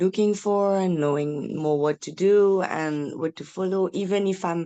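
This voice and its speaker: A woman talks at a fairly slow pace in a French accent. Her tone is dark and mellow. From France. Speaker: parent. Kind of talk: meeting introduction. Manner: halting.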